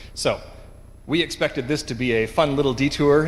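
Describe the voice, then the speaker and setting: Heard with a Canadian accent, a normal speaking voice shows ordinary pitch variation. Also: man. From western Canada, Vancouver. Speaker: conference speaker, engineering director. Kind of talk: conference talk. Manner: frequent filler 'um'.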